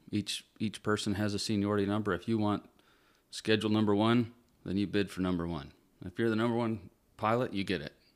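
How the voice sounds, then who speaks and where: A man's fairly low voice with an American accent, fairly even intonation, and a normal speaking voice. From Northern Michigan. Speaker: commercial airline pilot. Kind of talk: casual chat.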